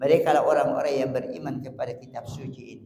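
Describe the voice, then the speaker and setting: A man's voice with audible room echo. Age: 70s. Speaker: preacher. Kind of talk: sermon.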